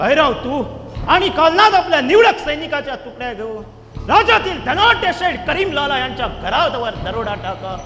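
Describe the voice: A man does a put-on character voice at an extremely high pitch, bright and sharp in tone, with big pitch swings. He keeps a moderate pace with few pauses, over faint background noise.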